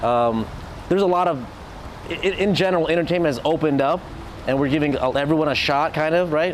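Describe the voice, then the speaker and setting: A man with a fairly high voice and an American accent talks at a very fast pace, with long, frequent pauses. His loudness stays very even, his pitch varies in an ordinary way, and there is noticeable background noise. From US West Coast, Orange County, California. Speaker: DJ. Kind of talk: interview. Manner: quiet by nature; halting, many restarts.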